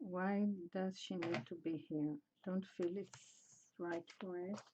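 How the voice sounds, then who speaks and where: A woman speaks at a very slow pace with a non-native accent and a dark, mellow tone. Her intonation stays fairly even, broken by long, frequent pauses. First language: not English. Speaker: mixed media artist. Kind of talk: casual art livestream narration. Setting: home art studio. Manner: halting, many fillers.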